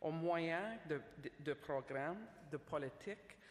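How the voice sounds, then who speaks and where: With an English accent, a woman speaks at a fairly low pitch with lively intonation. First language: English (speaking French). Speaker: government official, speaker. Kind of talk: conference speech. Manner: formal, somewhat halting.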